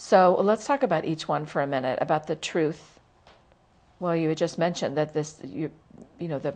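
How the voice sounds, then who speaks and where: At a moderate pace but with long, frequent pauses, a woman with an American accent speaks in a very deep, low voice with ordinary pitch variation against a quiet background. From US South. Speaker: talk show host for writers. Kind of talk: interview.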